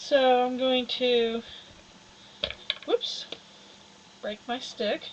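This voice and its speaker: A woman speaks loudly at a very slow pace. There is noticeable background noise. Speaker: fiber artist. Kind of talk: live-stream tutorial. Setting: studio.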